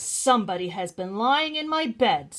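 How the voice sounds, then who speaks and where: A put-on character voice swings very widely in pitch at a moderate pace. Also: woman, fairly high pitch for a woman. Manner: loud, indignant.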